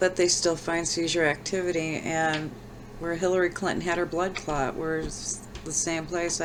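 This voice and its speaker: A woman's fairly low voice, monotone and flat in intonation, with audible room echo. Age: old. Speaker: vlogger sharing brain tumor recovery. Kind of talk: personal vlog. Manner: slow; halting.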